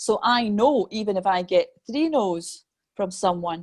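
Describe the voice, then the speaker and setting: A woman with a Scottish accent is heard in a very clean recording with a silent background and a dry, close sound with no echo. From Scotland. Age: 50s. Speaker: medium and mentor. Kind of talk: interview.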